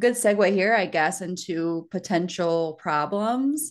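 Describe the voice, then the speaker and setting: A woman's fairly low-pitched voice against a quiet background. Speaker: podcast co-host. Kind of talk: podcast conversation. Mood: relaxed, conversational. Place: home room. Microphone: studio mic.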